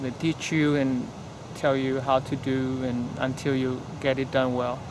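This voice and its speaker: In a Vietnamese accent, a man speaks fairly slowly at a medium pitch with flat, monotone intonation over noticeable background noise. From Vietnam, Hanoi. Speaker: golf course turf management trainee. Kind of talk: interview. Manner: halting.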